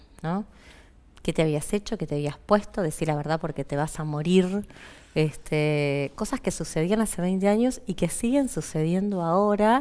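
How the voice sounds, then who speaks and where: A woman with a fairly low pitch, a dark, mellow tone and lively intonation. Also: moderate pace. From Argentina. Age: 40s. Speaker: physician; interview guest. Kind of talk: interview; interview answer. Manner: halting. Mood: earnest, reflective. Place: studio. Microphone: headset.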